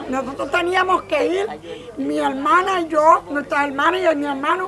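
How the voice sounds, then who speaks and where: Over crowd noise in the background, a woman speaks in a raised, projected voice at a moderate pace. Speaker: elderly workshop participant. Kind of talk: casual chat.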